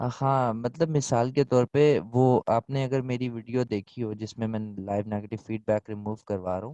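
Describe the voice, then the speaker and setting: In a dry, close sound with no echo and a quiet background, a man with a medium pitch and a dark, mellow tone talks with hardly any pauses and ordinary pitch variation. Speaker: online selling instructor. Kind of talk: Q&A in online class.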